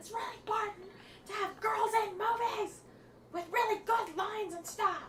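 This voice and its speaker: Audible room echo surrounds a woman with an extremely high pitch who speaks at a moderate pace, her loudness swinging widely. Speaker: talk show co-host. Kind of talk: casual chat. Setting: live stream. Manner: animated. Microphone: echoey sound.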